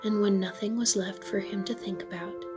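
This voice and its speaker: Soft-spoken, a woman uses a medium pitch with music in the background. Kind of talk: bedtime story reading.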